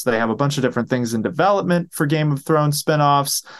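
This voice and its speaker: In a quiet background with a dry, close sound and no echo, a man has a normal speaking voice with a fairly high pitch and ordinary pitch variation. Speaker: podcast host. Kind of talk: casual chat. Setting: at home, video stream.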